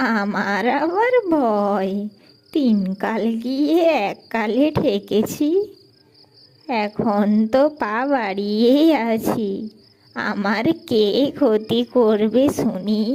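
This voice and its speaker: This woman uses a cartoonish character voice, cackling at a fairly high pitch. Her pace is very slow. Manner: sly, gloating, cackling.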